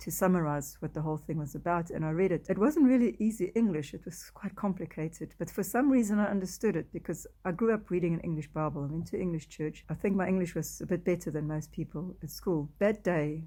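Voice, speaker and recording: A woman with a South African accent speaks at a very fast pace in a fairly low pitch, her tone dark, mellow and somewhat breathy. Her pitch varies in an ordinary way on a very clean recording with a silent background. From South Africa, Afrikaans-speaking. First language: Afrikaans. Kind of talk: testimony. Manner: halting.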